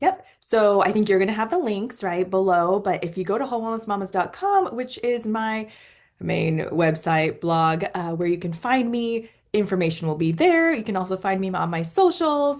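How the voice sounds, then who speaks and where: A woman speaks at a medium pitch and a moderate pace with lively intonation. It is a plain, everyday voice. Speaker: wellness summit host. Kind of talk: casual interview chat.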